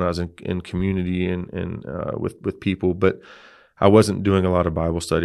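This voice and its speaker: A man with an American accent talks at a fairly quick pace in a very deep, low pitch. The background is quiet. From Texas. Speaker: former pro football player. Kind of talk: testimony.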